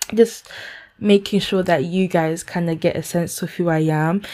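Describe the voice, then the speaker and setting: With a London accent, a woman speaks in a dark, mellow tone. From London, UK, Ghanaian heritage. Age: 20s. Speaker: podcaster and events manager. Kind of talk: casual solo podcast intro. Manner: animated, excited.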